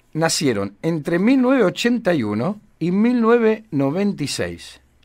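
In a very clean recording with a silent background, a man speaks at a high pitch. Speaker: community radio host. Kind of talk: casual radio chat.

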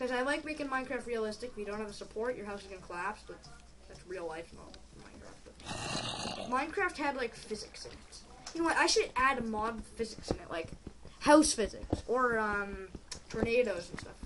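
A woman's fairly high, fairly quick voice with lively intonation and big swings in loudness, over noticeable background noise. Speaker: gaming youtuber. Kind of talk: gameplay commentary. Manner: animated.

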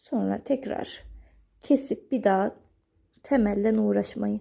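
The recording is very clean with a silent background as a woman speaks at a very slow pace. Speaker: needlework craft YouTuber. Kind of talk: tutorial. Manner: calm, explanatory.

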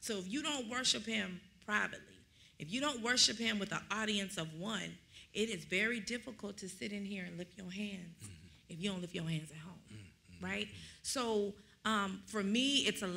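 A woman speaks with a bright, sharp tone and some vocal fry. Her loudness swings widely from moment to moment. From Dallas area, Texas; Texas. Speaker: minister; minister in discussion. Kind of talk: bible study discussion. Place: church. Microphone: studio mic.

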